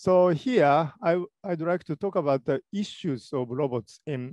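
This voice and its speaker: A man with a Japanese accent speaks at a moderate pace with lively intonation. The sound is dry with no echo, and the background is quiet. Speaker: robotics professor; conference speaker. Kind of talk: lecture. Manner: halting.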